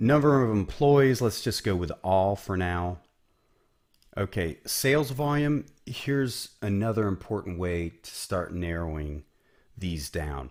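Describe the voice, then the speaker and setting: A man's very deep, low voice with an American accent and very wide pitch swings, at a fairly slow pace on a very clean recording with a silent background. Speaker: business coach. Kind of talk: tutorial. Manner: casual, conversational.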